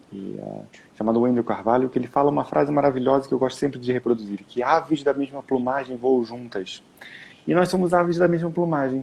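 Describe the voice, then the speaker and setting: This man's voice is medium in pitch with ordinary pitch variation. He keeps a fairly quick pace. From Brazil. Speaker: time management mentor. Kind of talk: live stream conversation.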